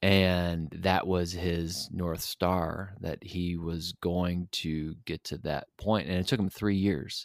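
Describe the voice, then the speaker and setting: Very deep, low male voice, very slow and monotone, hardly any pauses, dry and close with no echo on a very clean recording with a silent background. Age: 40s. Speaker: podcast co-host. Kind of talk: casual chat. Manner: halting.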